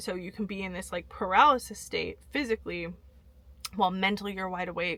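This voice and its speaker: At a fairly quick pace, a woman with an American accent talks at medium pitch in a bright, sharp tone. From California. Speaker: vlogger. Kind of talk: storytelling. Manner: fast; animated.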